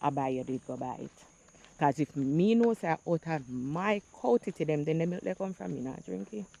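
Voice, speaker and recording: A woman speaks in a Jamaican accent at a moderate pace. Her tone is dark and mellow. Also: dry, close sound with no echo. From Jamaica, St. Andrew. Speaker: vlogger. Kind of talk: casual vlog monologue, Jamaican patois.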